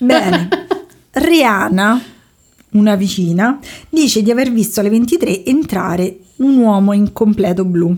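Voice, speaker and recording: A woman speaks at a fairly slow pace with a medium pitch and lively intonation. Her voice is somewhat breathy and very even in loudness, with long, frequent pauses. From Rome, Italy. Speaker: podcast host. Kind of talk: storytelling.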